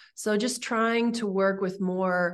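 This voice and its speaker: A woman talks in a normal speaking voice at medium pitch, with ordinary pitch variation. She goes at a fairly slow pace against a quiet background. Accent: American. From California. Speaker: herbalist and body care entrepreneur. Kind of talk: interview conversation.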